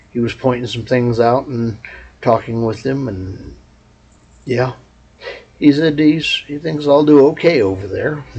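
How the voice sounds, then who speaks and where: There is noticeable background noise as a man with an American accent speaks at a very slow pace, at a medium pitch and with ordinary pitch variation. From Texas. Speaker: vlogger. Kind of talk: casual vlog monologue. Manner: loud.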